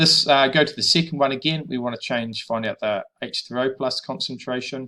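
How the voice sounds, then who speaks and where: With a New Zealand accent, a man with fairly high pitch and a bright, sharp tone speaks at a moderate pace with ordinary pitch variation. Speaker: high school chemistry teacher. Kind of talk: tutorial.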